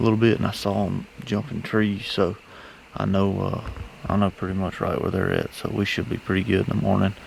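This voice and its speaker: Against noticeable background noise, a man with a Southern US accent speaks at a fairly quick pace in a fairly low voice with fairly even intonation. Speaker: hunting video host. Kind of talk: self-filmed outdoor vlog. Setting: outdoors. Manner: whispering.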